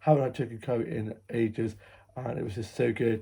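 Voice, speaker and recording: Somewhat breathy, a man talks at a very fast pace. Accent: English. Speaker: vlogger. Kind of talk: casual vlog narration. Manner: chatty.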